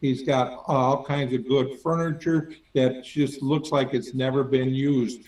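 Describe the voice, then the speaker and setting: A normal speaking voice from a man, fairly high in pitch, fairly slow, with fairly even intonation. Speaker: auctioneer. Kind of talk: interview answer.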